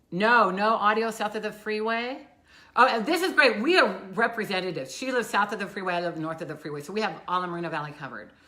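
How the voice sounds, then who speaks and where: Amid audible room echo, a woman talks at a very fast pace in a medium-pitched voice, her intonation lively and her loudness swinging widely. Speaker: local community live show co-host. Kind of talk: casual chat. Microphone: no microphone worn, room audio.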